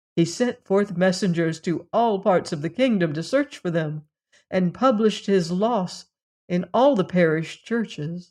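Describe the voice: Over a quiet background, the text is given plain reading aloud.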